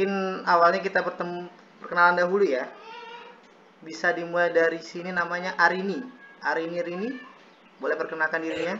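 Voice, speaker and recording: A man's high-pitched voice at a very fast pace, fairly even intonation and long, frequent pauses, with audible room echo and music in the background. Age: 20s. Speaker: university student doing peer teaching, acting as teacher. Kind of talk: classroom lesson roleplay. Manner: casual, joking.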